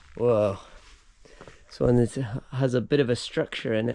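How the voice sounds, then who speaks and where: Clear background noise runs through the clip. Over it, a man talks rather slowly. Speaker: travel vlogger, hiker. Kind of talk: vlog narration. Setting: outdoors. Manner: casual; quiet.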